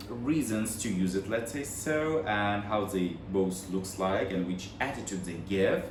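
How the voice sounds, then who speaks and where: A man with a Russian accent talks at a very slow pace in a fairly low voice. His pitch swings very widely, and audible room echo surrounds him. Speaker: vlogger, bag collector. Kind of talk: casual unboxing vlog. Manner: halting. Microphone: no microphone, built-in mic.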